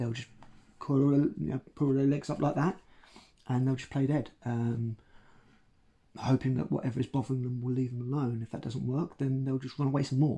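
A man talks at a moderate pace with long, frequent pauses. His voice is somewhat breathy, with fairly even intonation. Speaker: educator. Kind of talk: educational talk to camera. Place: home room.

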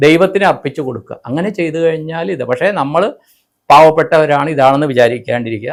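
This is a normal speaking voice from a man, fairly high in pitch. His pitch moves in an ordinary way. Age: 50s. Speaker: spiritual speaker. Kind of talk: interview.

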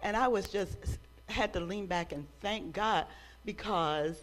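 The delivery moves at a fairly slow pace with ordinary pitch variation. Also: woman. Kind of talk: exhortation during worship service. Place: church. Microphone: handheld.

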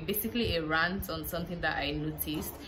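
A woman talks at a moderate pace in a low voice with ordinary pitch variation.

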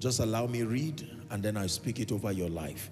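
Clear music plays in the background. The speech moves at a moderate pace with ordinary pitch variation. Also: man. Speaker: preacher. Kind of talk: sermon. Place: church. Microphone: handheld.

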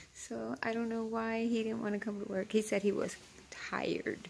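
A woman's moderate pace comes through over light background noise. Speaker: vlogger. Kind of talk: casual vlog chat. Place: office. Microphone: phone near.

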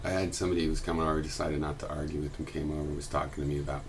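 Noticeable background noise sits behind a man whose voice is very deep and low-pitched. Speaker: video blogger. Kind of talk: explanatory monologue. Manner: halting, thoughtful. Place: home room. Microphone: webcam.

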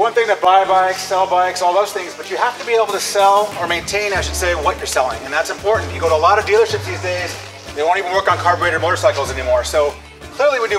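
A man's high-pitched voice at a very fast pace, with ordinary pitch variation and clear music in the background. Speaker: business host giving a tour. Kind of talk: tour commentary. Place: workshop.

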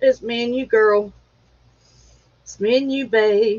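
This woman talks at a fairly slow pace in a high pitch. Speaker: livestream host. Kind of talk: casual chat. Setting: at home. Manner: halting.

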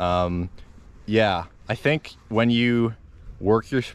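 Fairly even intonation from a man

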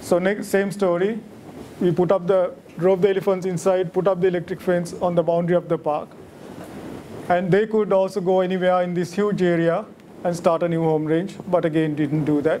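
With light background noise, a man talks at a fairly quick pace in a high pitch, his intonation monotone and flat. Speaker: lecturer at a monthly wildlife society talk. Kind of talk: lecture. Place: hall. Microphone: podium.

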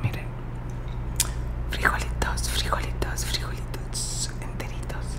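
A woman at a moderate pace against loud background noise. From Mexico. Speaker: ASMR creator. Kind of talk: ASMR whispered talk to camera. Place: home room. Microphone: studio mic.

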